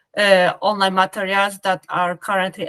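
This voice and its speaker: The speaker has a Polish accent, heard in a dry, close sound with no echo. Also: woman. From Poland (Krakow). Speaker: business professional. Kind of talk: interview. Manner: halting.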